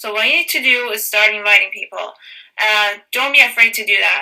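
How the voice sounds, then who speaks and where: At a fairly quick pace, a woman speaks at a fairly high pitch with a non-native accent. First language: not English. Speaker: fitness business coach. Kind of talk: training call.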